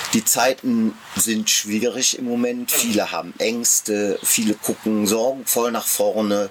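A man at medium pitch and a fairly slow pace, with flat, monotone intonation and noticeable background noise. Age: 60s. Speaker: amateur theatre director and marksmen's club member. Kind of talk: casual interview. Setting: outdoors in a garden.

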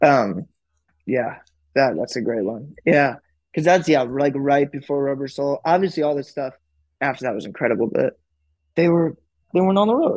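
Against a quiet background, a man with an American accent speaks at a moderate pace with a fairly high pitch and lively intonation, taking long, frequent pauses. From US Midwest, Chicago. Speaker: indie rock musician. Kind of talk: casual chat.

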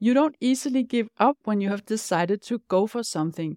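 With a Danish accent, a woman speaks at a fairly high pitch in a dry, close recording with no echo. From Denmark. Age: 50s. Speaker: life coach and podcast host. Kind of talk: scripted-style solo podcast monologue.

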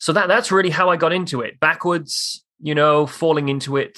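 Speaking at a moderate pace, a man with a Welsh accent has a bright, sharp tone. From South Wales, Newport. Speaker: commercial real estate broker. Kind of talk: casual interview.

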